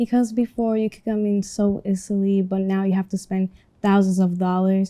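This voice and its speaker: A woman's dark, mellow voice in a Spanish accent, monotone and flat, at a fairly quick pace, in a very clean recording with a silent background. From Dominican Republic. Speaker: student interviewee. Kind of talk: class project interview.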